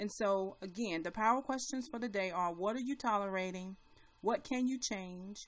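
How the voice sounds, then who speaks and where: With a plain, everyday voice, a woman talks at a moderate pace and medium pitch, her pitch varying in an ordinary way. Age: 40s. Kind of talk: motivational live broadcast.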